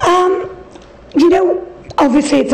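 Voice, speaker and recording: Through audible room echo and noticeable background noise, a woman speaks with an English accent. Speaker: interior designer. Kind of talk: interview.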